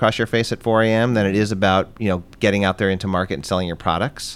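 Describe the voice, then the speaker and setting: Fairly low in pitch, a man with an American accent speaks at a very fast pace with fairly even intonation. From Los Angeles, Southern California. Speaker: ice cream company owner. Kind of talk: casual chat.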